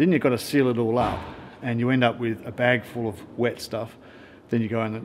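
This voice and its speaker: Over light background noise, a man with an Australian accent speaks at a moderate pace in a monotone, flat intonation. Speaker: travel filmmaker; travel vlogger. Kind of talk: casual vlog narration. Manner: relaxed, hesitant with fillers.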